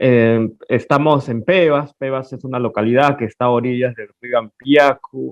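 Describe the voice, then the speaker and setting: A man's medium-pitched voice at a fairly slow pace, with big swings in loudness and fairly even intonation. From Peruvian Amazon. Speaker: painter. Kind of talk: interview. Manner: halting.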